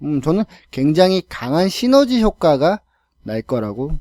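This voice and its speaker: Recorded very cleanly against a silent background, a man with a dark, mellow tone and a fairly high pitch speaks in a dry, close sound with no echo and very wide pitch swings. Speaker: lecturer and podcast storyteller. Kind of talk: podcast monologue.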